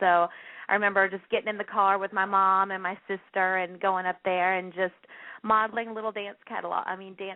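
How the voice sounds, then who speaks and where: A woman speaks at a moderate pace in a Southern US accent. Her medium-pitched voice stays monotone and flat. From US South, North Carolina. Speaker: plus-size model and actress. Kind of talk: radio interview.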